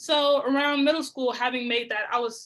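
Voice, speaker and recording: A woman's high-pitched voice with an American accent, a bright, sharp tone and a moderate pace. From Cincinnati, Ohio, US Midwest. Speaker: muralist. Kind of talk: panel conversation.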